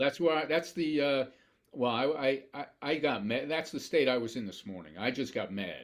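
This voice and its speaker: The speaker is a man with an ordinary speaking voice and a fairly high pitch. He keeps a moderate pace and ordinary pitch variation. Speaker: podcast host. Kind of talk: podcast interview.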